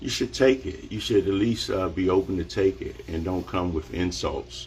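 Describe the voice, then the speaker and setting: The speech comes at a fairly slow pace with vocal fry. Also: man. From Washington DC area. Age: 50s. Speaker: barber. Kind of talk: live social media monologue. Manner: animated.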